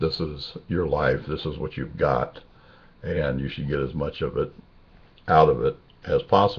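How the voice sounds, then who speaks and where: With ordinary pitch variation and vocal fry, a man speaks at a very deep, low pitch. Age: 60s. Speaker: video blogger. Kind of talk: casual personal video monologue. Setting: webcam recording. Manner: halting, many fillers.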